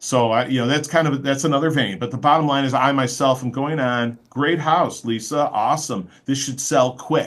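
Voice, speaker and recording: With an American accent, a man talks at a fairly high pitch using ordinary pitch variation. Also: moderate pace, hardly any pauses. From Chicago area. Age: 60s. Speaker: mortgage loan officer. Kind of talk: podcast interview. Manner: animated, frequent 'okay?' fillers.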